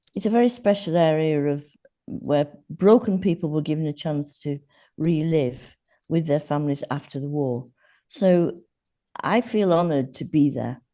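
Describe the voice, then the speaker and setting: A woman with an English accent, dark and mellow in tone, at a very deep, low pitch, with long, frequent pauses over a quiet background. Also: lively intonation, moderate pace. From Yorkshire, northern England. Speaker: podcast guest, former teacher. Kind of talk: podcast interview.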